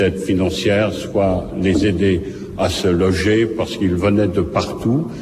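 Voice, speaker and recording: A man's very deep, low voice at a very slow pace, with fairly even intonation, audible room echo and noticeable background noise. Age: 60s. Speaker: Holocaust survivor witness. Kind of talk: court testimony. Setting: courtroom.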